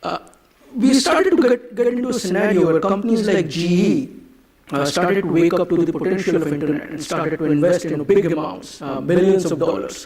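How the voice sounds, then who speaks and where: Over noticeable background noise and audible room echo, a man with an Indian accent speaks fairly quickly in a high pitch with lively intonation. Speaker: conference speaker, marketing executive. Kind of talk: conference keynote talk. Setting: stage with audience. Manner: hesitant, many fillers.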